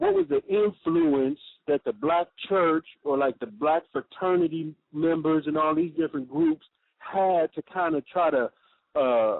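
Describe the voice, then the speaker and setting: Speaking at a fairly slow pace, a man uses a fairly high pitch with ordinary variation. He has an American accent. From California, US. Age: 40s. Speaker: radio host. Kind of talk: interview. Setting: radio call-in. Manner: halting.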